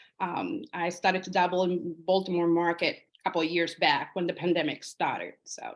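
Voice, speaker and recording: With a Spanish accent, a woman speaks at a fairly quick pace in a monotone, flat intonation, with hardly any pauses. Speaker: realtor. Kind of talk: interview. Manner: hesitant, many fillers.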